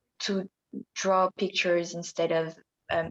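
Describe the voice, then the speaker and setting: A woman with a French accent speaks at a fairly slow pace and a fairly low pitch, in a monotone, flat intonation. The sound is dry and close, with no echo. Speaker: podcast co-host. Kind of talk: casual chat.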